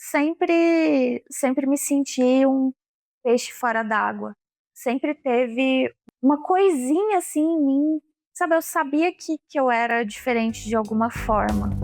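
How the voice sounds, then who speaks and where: Her high-pitched voice has lively intonation and very even loudness as this woman speaks at a very slow pace. The sound is dry and close, with no echo. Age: 20s. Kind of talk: interview testimony. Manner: halting, repeats words.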